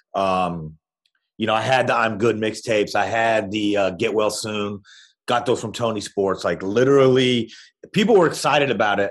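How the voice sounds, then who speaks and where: In a quiet background, a man with an unremarkable speaking voice and fairly low pitch talks at a moderate pace with ordinary pitch variation. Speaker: music blogger interviewed about a documentary. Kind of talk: casual interview chat. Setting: remote call.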